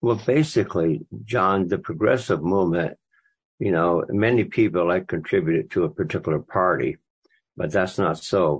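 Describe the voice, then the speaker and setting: Very deep and low, a man's voice with an American accent moves at a moderate pace with lively intonation and very even loudness. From eastern Maine, US. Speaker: author. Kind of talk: interview. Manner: halting, repetitive.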